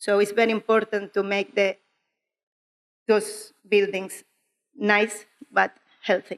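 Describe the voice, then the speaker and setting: In a strong Spanish accent, a woman speaks at a very slow pace and medium pitch with monotone, flat intonation, long, frequent pauses, very even loudness and a dry, close sound with no echo. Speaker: clay plasterer. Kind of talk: conference talk. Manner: slow, careful.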